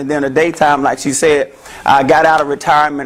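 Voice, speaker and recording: A man with a Memphis accent talks at a fairly quick pace in a fairly high pitch, with noticeable background noise. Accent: Southern US (Memphis). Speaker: therapist. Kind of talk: talk to an audience. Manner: loud; animated.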